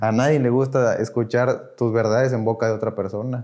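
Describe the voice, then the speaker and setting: This man's voice sits at a medium pitch. His intonation is monotone and flat. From Mexico, Tamaulipas. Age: 20s. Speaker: recovering addict. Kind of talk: testimony.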